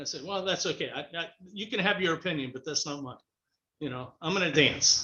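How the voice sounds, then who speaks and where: At a fairly quick pace, a man speaks in an ordinary speaking voice. His fairly high pitch shows ordinary variation. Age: 60s. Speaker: motivational speaker and author. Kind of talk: interview.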